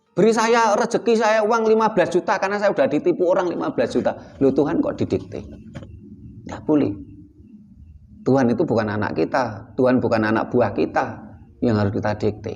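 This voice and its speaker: Speaking with a Javanese accent, a man talks at a fairly quick pace with very wide pitch swings. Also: fairly high pitch for a man. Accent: Javanese-accented Indonesian. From Java, Indonesia. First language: Javanese (speaking Indonesian). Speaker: spiritual teacher. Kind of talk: teaching talk.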